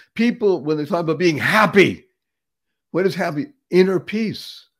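A high-pitched man with an American accent and an animated, upbeat tone. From Boston, Massachusetts. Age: 70s. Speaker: motivational speaker and podcaster. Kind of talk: motivational talk in an interview. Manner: animated, upbeat, emphatic.

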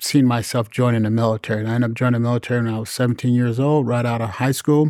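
Using fairly even intonation, a man speaks at a medium pitch with an American accent. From US Midwest, North Chicago, Illinois. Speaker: mayor. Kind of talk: interview. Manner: halting, many fillers.

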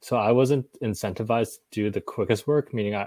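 An unremarkable speaking voice moves at a fairly quick pace with fairly even intonation, recorded dry and close with no echo on a very clean, silent background. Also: man. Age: 30s. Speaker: tech startup executive. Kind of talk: casual interview.

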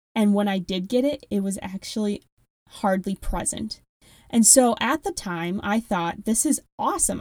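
In a strong Midwestern accent, a woman talks at a moderate pace with a fairly high pitch and ordinary pitch variation. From Wisconsin. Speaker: health coach podcast host. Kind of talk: solo podcast monologue.

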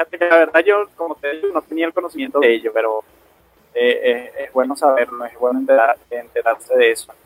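A man with a fairly high pitch and lively intonation, with music in the background. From Venezuela, Aragua state. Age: 20s. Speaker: rugby referee. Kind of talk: interview.

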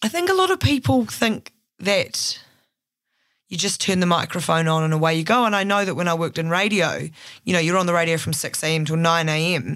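On a very clean recording with a silent background, a woman with a fairly low pitch talks at a fairly quick pace with ordinary pitch variation. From Christchurch, New Zealand. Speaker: podcast producer and journalist. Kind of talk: interview conversation.

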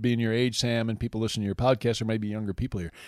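A man speaks with an American accent at a medium pitch. The recording is very clean, with a silent background. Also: dry, close sound with no echo. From northern Michigan. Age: 50s. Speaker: campus minister. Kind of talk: casual chat.

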